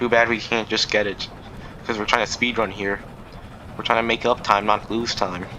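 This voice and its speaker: Over noticeable background noise, a man talks at a moderate pace. His pitch is medium and his intonation fairly even. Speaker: gaming youtuber. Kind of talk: gameplay commentary. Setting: recording over gameplay. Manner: casual rambling.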